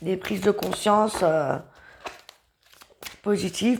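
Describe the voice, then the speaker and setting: Very slow and full of lively intonation, a woman speaks at a medium pitch. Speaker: tarot reader. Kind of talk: tarot reading. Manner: halting.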